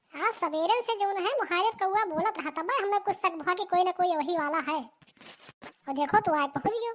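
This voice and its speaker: A woman puts on a cartoonish character voice. It is squeaky and extremely high in pitch. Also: fairly quick pace. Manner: chatty, folksy.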